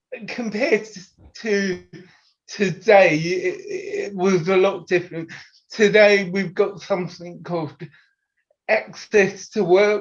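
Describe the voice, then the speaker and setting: The delivery is very slow, in a British accent. Intonation stays fairly even. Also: man. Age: 50s. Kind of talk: interview.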